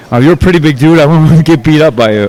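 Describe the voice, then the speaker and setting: With ordinary pitch variation, a man rattles along very fast amid noticeable background noise. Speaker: fight interviewer. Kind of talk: interview. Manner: casual, joking.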